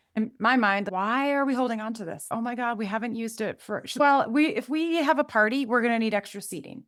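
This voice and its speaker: Fairly quick and lively in intonation, a woman speaks at a fairly high pitch in a normal speaking voice. The recording is very clean, with a silent background. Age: 50s. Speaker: podcast host. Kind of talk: casual chat.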